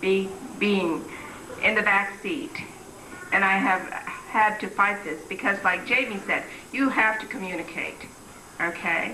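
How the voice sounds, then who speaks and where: Speaking at a fairly slow pace, a woman uses lively intonation at a medium pitch, with audible room echo and noticeable background noise. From Philippines. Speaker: community member speaker. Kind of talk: public speech.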